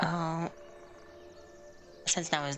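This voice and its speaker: A woman talks at a very slow pace with fairly even intonation. Music plays in the background. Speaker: video game streamer. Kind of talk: casual gameplay stream talk. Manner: monotone.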